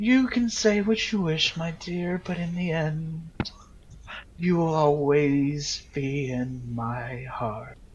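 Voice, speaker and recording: Putting on a character voice, a man speaks at a fairly high pitch. His pace is very slow. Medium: actual play. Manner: sweetly possessive, condescending.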